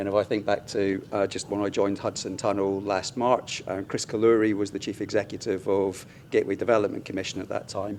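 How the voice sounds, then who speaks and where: A man with a British accent talks at a fairly quick pace with hardly any pauses. His fairly low pitch holds a monotone, flat intonation. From UK. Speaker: infrastructure executive. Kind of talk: conference panel discussion.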